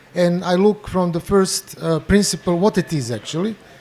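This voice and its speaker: A man with a Croatian accent, high-pitched, with ordinary pitch variation, at a moderate pace. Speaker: bioenergy therapist. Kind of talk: panel discussion introduction. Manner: halting.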